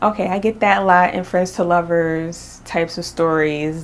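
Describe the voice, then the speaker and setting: Noticeable background noise beneath a woman's fairly low-pitched voice. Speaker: book reviewer. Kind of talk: casual chat. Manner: stuttering, hesitant; animated.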